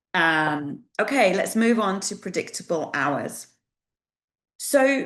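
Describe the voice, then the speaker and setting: The background is quiet around this woman. She talks at a very slow pace. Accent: British. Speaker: employment relations specialist presenting a webinar. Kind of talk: webinar presentation. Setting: online webinar.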